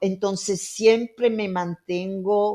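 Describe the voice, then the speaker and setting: A woman's voice with a dark, mellow tone. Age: 60s. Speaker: family caregiver and podcaster. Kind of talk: casual advice monologue. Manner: halting, many fillers.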